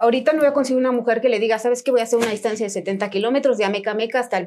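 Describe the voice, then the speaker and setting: A woman's voice with ordinary pitch variation. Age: 40s. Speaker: trail runner and running coach. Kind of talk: casual chat.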